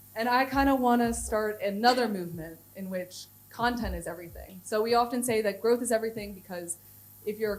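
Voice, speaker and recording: Someone with an American accent speaks at a fairly quick pace with ordinary pitch variation and audible room echo. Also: woman. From United States. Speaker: head of content at a software company. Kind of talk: conference talk. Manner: casual, many fillers.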